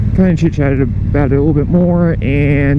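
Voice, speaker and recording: Music plays in the background as a man talks with fairly even intonation amid audible room echo. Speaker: motorcycle vlogger. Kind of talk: casual vlog talk while riding. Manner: loud.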